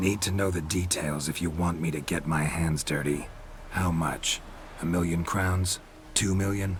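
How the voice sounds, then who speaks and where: Over clear background noise, a man does a put-on character voice at a very deep, low pitch. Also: moderate pace. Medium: video game. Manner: terse, dry, deadpan.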